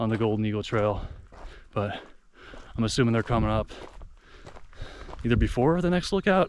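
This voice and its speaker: A medium-pitched man at a moderate pace, with ordinary pitch variation. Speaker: hiking vlogger. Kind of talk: casual vlog narration while hiking. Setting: outdoors on a mountain trail. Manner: soft-spoken.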